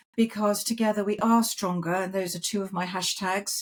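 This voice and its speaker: Somewhat breathy, a woman is heard in a very clean recording with a silent background. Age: 60s. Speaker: podcast host. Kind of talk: casual chat. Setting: video podcast.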